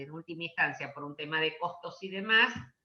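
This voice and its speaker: Noticeable background noise sits under a woman's fairly low-pitched voice, which moves at a moderate pace with ordinary pitch variation. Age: 60s. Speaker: education law speaker. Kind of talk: Q&A session.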